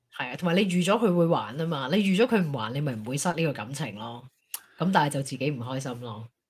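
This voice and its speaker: Very fast and somewhat breathy, a woman speaks in a very deep, low voice with very wide pitch swings. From Hong Kong. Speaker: talk show co-host. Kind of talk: casual chat. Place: home room. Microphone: studio mic.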